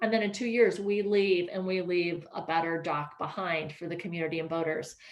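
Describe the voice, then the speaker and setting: Noticeable background noise sits under a woman's voice. She speaks at a fairly quick pace and medium pitch with ordinary pitch variation. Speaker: ferry project presenter. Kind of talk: presentation with Q&A. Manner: fast.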